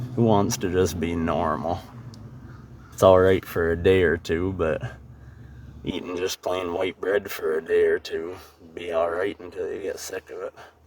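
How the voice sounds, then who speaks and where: With noticeable background noise, a man speaks in a very deep, low voice and fairly even intonation. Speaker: travel vlogger. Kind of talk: voice-over narration. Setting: recorded after driving, overdubbed. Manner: monotone.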